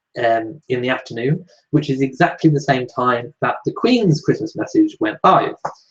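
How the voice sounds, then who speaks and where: A somewhat breathy man's voice at fairly high pitch. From Shropshire, English Midlands. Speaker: royal news YouTuber. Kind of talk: live Q&A chat reading viewer comments. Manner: casual, many filler ums.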